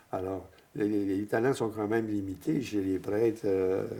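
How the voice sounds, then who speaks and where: A man with a fairly low pitch, a dark, mellow tone and fairly even intonation. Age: 80s+. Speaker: priest. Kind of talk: interview. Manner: halting, many repetitions.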